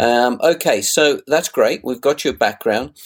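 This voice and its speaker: A man with a British accent talks at a moderate pace and fairly high pitch, with ordinary pitch variation. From UK. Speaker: podcast host. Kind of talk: interview.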